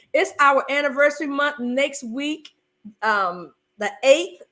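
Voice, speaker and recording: In a Southern US accent, a woman projects a raised voice at a high pitch, with a bright, sharp tone, lively intonation and an animated delivery. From US South, North Carolina (Fayetteville). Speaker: podcast host, marriage coach. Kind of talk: casual chat.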